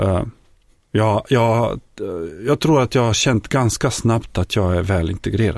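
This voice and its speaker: With long, frequent pauses and a fairly slow pace, a man with a Bosnian accent speaks at a medium pitch with ordinary pitch variation and very even loudness in a very clean recording with a silent background. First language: Bosnian (speaking Swedish). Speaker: folk high school teacher and former refugee. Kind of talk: interview testimony. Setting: studio.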